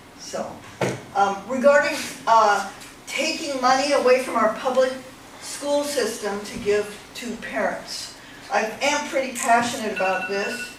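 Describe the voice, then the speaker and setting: Amid audible room echo and noticeable background noise, a woman with a high pitch speaks with long, frequent pauses. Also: ordinary pitch variation, fairly slow pace. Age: 70s. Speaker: member of the public giving public comment. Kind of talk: public comment at county meeting. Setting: public meeting room. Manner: halting.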